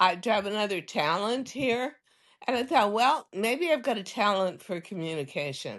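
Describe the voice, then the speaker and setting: A woman speaks with an American accent at a moderate pace, her medium pitch moving in very wide swings. The background is quiet. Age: 80s. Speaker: fashion designer and TV presenter. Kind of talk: interview storytelling.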